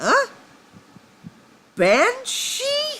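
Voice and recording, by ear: This is a put-on character voice. It is pitched extremely high.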